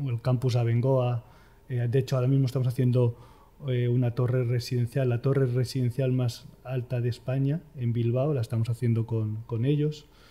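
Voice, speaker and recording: Speaking with a Madrid accent, a man uses a dark, mellow, somewhat breathy voice at a medium pitch. His delivery is a flat monotone at a moderate pace. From Spain, Madrid. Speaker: architect, firm co-founder. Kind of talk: interview.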